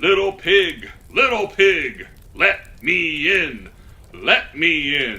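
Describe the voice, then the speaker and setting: A man uses a high-pitched, put-on character voice. He speaks at a very slow pace. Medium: read story. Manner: growling, menacing.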